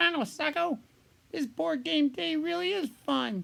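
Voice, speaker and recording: A man puts on a character voice, pitched extremely high and swinging very widely up and down. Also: fairly slow pace. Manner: excited, upbeat.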